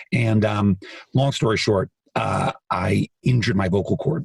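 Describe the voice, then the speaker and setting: This man speaks at a fairly slow pace and a fairly low pitch, with ordinary pitch variation and a dry, close sound free of echo. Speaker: author and singer. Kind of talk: interview conversation.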